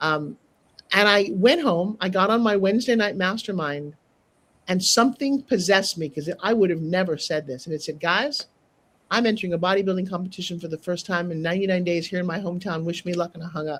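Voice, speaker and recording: This woman talks at a fairly quick pace in an animated tone, her medium pitch moving with ordinary variation. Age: 60s. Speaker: TV host and sales trainer. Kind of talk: interview storytelling.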